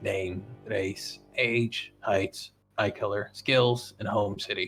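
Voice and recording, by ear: A man uses a put-on character voice, raspy and gravelly, at a fairly low pitch. He speaks at a very slow pace with music in the background.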